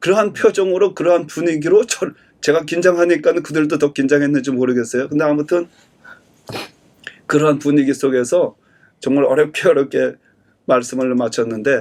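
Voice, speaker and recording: A fairly high-pitched man speaks at a fairly quick pace with ordinary pitch variation, leaving long, frequent pauses. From Korea. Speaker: pastor. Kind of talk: sermon. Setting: church service streamed online.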